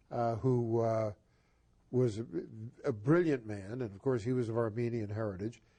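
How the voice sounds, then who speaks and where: A man with an American accent speaks at a moderate pace, medium in pitch, with a dark, mellow tone and fairly even intonation. He leaves long, frequent pauses. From US Northeast (Boston). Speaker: talk show host. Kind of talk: interview.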